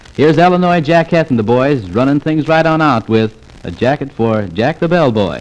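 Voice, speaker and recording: Lively intonation at a moderate pace. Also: man. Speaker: radio announcer / disc jockey. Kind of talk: radio disc jockey show patter, audition. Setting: old acetate disc recording, vintage 1940s. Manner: chatty, jocular, rhyming patter. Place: studio. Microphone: old recording.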